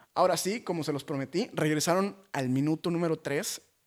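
An animated man with a fairly high pitch, lively intonation and a fairly quick pace, in a very clean recording with a silent background. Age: 20s. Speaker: podcast host and motivational speaker. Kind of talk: casual monologue.

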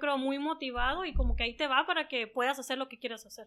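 A woman's raised, projected voice, high in pitch with a bright, sharp tone, over a quiet background. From northwestern Mexico, San Luis Río Colorado (Sonora). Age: 30s. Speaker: beauty business owner. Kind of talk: interview.

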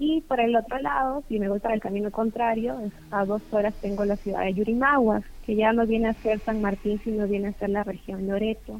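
Pitch variation here is ordinary. The woman keeps a moderate pace. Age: 20s. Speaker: dentist. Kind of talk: casual interview.

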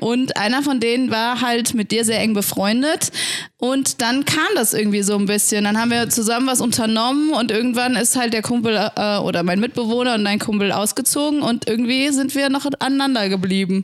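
Over noticeable background noise, a woman speaks at a moderate pace with a fairly high pitch. Her pitch varies in an ordinary way and her loudness stays very even. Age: 20s. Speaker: church youth worker. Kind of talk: casual chat.

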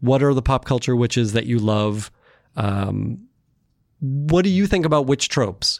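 In a normal speaking voice, a man talks at a moderate pace and medium pitch with lively intonation, on a very clean recording with a silent background. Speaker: podcast host. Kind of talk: moderated roundtable conversation.

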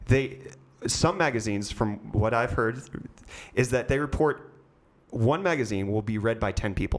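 A man talks at a moderate pace and medium pitch, his intonation lively. He leaves long, frequent pauses. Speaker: podcast host. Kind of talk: casual interview chat.

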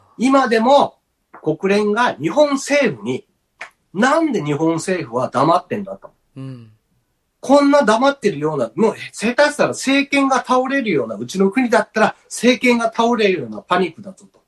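A man with a high voice speaks at a moderate pace with very wide pitch swings and big swings in loudness, recorded dry and close with no echo. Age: 50s. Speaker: podcast host. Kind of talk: casual chat. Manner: animated.

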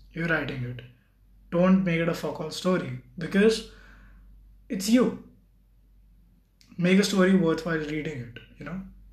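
A man with a high voice speaks at a moderate pace with ordinary pitch variation, long and frequent pauses, and audible room echo. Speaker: solo podcaster. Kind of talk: casual monologue. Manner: halting.

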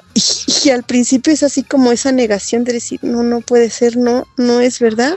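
A woman with a high-pitched voice talks at a moderate pace with fairly even intonation over noticeable background noise. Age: 40s. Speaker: CrossFit athlete and training facilitator. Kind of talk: personal testimony interview.

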